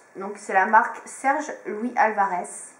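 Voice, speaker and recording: A woman's voice with ordinary pitch variation carries audible room echo. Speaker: beauty vlogger. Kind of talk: product review. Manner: hesitant, many fillers.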